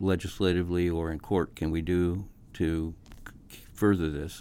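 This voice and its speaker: A man's very deep, low voice in a monotone, flat intonation, captured in a very clean recording with a silent background. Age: 70s. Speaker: public defender. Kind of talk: interview. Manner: halting.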